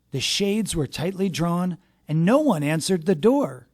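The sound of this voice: The voice reads in an unforced way. Nothing about the delivery is pushed.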